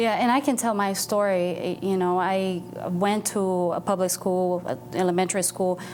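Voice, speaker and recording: This woman speaks with a Brazilian accent at a moderate pace, her medium pitch held in fairly even intonation and her loudness very even. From Brazil, moved to Boston as a teen. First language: Portuguese. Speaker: nonprofit foundation staff. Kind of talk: TV interview.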